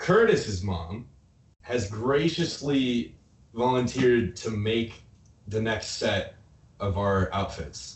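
At a very slow pace with long, frequent pauses, a man talks at a medium pitch, somewhat breathy, with lively intonation. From Nebraska. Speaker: rock band member. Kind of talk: casual chat. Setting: video call.

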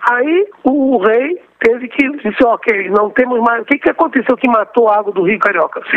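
Over noticeable background noise, a man talks at a moderate pace in an extremely high pitch. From Rio de Janeiro, Brazil. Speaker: professor of water resources. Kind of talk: interview.

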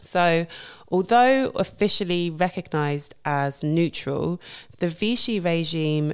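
Speech comes at a fairly slow pace with ordinary pitch variation on a very clean recording with a silent background. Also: woman. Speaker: podcast host. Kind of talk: scripted podcast lecture, educational. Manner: casual, chatty, friendly.

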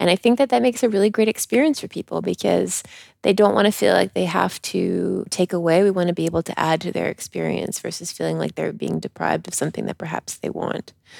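Talking at a very fast pace with hardly any pauses, the speaker has a slight Canadian accent, and the sound is dry and close with no echo in a very clean recording with a silent background. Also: woman. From Canada. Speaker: podcast co-host, yoga retreat leader. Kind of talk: casual podcast chat. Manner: pauses, searches for words.

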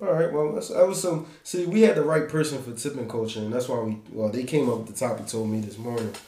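Talking at a very fast pace with hardly any pauses, a man with a medium-pitched voice is heard over noticeable background noise and audible room echo. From Philadelphia. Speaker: podcast host. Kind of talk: casual chat.

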